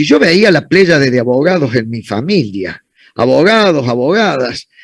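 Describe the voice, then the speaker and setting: A man is speaking. His pitch swings very widely. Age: 60s. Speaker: law professor. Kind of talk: conference Q&A answering student questions.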